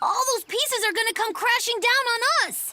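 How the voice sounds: This is a cartoonish character voice at an extremely high pitch. It sounds squeaky. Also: moderate pace.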